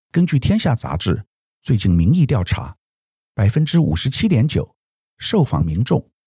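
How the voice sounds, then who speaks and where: A somewhat breathy voice with a dark, mellow tone moves through very wide pitch swings, recorded with a dry, close sound and no echo. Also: man. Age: 60s. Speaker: podcast host. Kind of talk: news analysis monologue.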